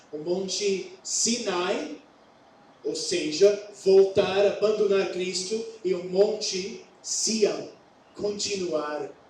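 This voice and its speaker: A man with an English accent speaks very slowly, with audible room echo. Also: long, frequent pauses. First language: English (speaking Portuguese). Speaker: pastor. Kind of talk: sermon. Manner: halting.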